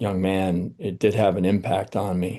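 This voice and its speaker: A man with an American accent talks at a fairly slow pace in a dark, mellow tone. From Rhode Island, US. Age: 60s. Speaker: retired army general. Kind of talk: interview conversation. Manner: halting, many fillers.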